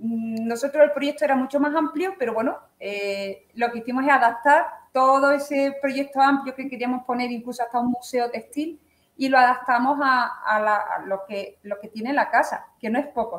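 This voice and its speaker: A woman speaks at a high pitch and a moderate pace. Her pitch varies in an ordinary way. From Andalusia, Cádiz (Chiclana de la Frontera). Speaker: artisan weaver. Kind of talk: interview. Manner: halting, with many fillers.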